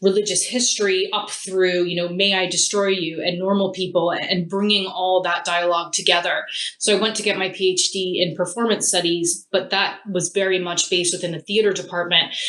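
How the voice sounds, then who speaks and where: Noticeable background noise sits under a woman with an American accent who speaks at a fairly quick pace and medium pitch, with hardly any pauses and monotone, flat intonation. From US, Philadelphia. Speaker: theatre studies lecturer. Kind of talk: interview.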